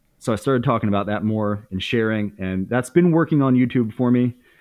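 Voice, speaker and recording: A man with an American accent talks at a fairly quick pace. He has a normal speaking voice at a medium pitch. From Indiana, US Midwest. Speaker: YouTuber and former stand-up comedian. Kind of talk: casual interview chat.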